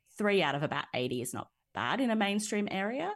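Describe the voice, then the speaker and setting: Lively intonation in an Australian accent, over a quiet background. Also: woman. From Nowra, south coast of New South Wales, Australia. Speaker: public policy researcher, PhD scholar. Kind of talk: interview conversation.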